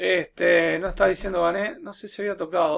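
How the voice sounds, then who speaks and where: With light background noise behind him, a man talks with a Uruguayan accent. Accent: Rioplatense Spanish (Uruguayan). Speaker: teacher making programming tutorials; teacher. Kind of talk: tutorial. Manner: casual, with frequent fillers and repetitions. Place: home room. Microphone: webcam.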